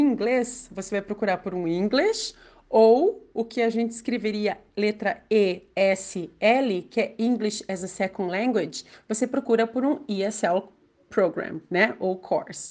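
A woman speaks at a fairly slow pace in a fairly high pitch, with lively intonation. Hers is an unremarkable speaking voice. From Brazil, Curitiba (Paraná). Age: 40s. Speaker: education advisor. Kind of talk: interview.

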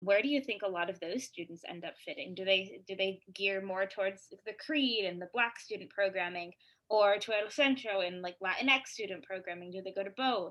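Here a woman has an ordinary speaking voice at a medium pitch with ordinary pitch variation. She goes at a moderate pace, with big swings in loudness. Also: hardly any pauses. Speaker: student co-host. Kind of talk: interview.

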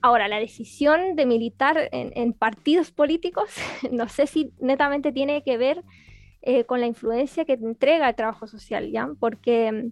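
A high-pitched woman's voice in a Chilean accent, with ordinary pitch variation. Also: moderate pace, dry, close sound with no echo. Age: 20s. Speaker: social work graduate student and party activist. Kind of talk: interview.

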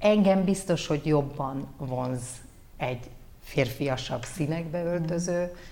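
Speaking at a very slow pace, a woman with a very deep, low pitch uses ordinary pitch variation, and audible room echo can be heard. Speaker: former news anchor and model, communications head. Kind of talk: casual interview.

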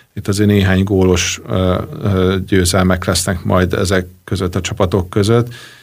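A man's very deep, low voice in a monotone, flat intonation at a moderate pace. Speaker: club founder and owner. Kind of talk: radio interview. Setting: studio. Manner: halting, many fillers.

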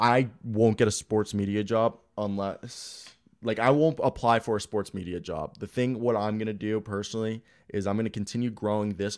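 In an American accent, an unremarkable speaking voice moves at a moderate pace with fairly even intonation, recorded very cleanly against a silent background. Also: man. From US East Coast (Florida, Maryland). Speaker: sports podcast host. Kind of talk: casual live-stream chat. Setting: home live stream.

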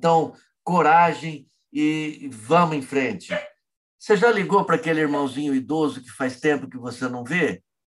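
A man speaks at a moderate pace with a fairly high pitch and lively intonation. His loudness swings widely. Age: 60s. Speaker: freemasonry grand master. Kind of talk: interview. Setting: working from home. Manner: vehement.

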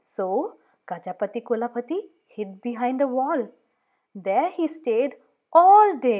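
In a very clean recording with a silent background, a high-pitched woman speaks in an animated, playful tone with very wide pitch swings, at a fairly slow pace with long, frequent pauses. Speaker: audiobook narrator. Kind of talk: children's audiobook reading aloud. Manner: animated, playful storyteller with dramatic sound effects; building suspense with rising volume and pauses.

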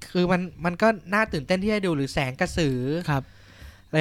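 On a very clean recording with a silent background, a man speaks high in pitch with lively intonation. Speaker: podcast co-host. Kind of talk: casual chat.

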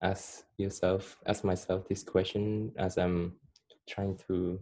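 Very slowly and with fairly even intonation, a man speaks in a very deep, low pitch with a dark, mellow tone. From Cambodia. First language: Khmer. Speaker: guest. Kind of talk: casual interview chat.

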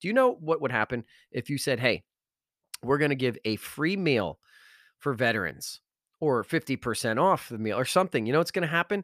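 On a very clean recording with a silent background and a dry, close sound with no echo, a man speaks with lively intonation and an animated tone. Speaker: podcast host, motivational speaker. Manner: loud, fast, high-energy, animated hype; exasperated, sarcastic, and worked-up during the rant.

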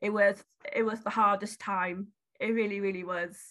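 A woman with a Welsh accent speaks at a moderate pace in a bright, sharp tone against a quiet background. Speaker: beauty brand founder and support worker. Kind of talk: casual interview.

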